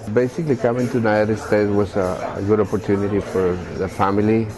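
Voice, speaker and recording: A man at a fairly quick pace, fairly low in pitch, with fairly even intonation and music in the background. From Colombia. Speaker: youth worker and dance company director. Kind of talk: interview testimony. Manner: halting.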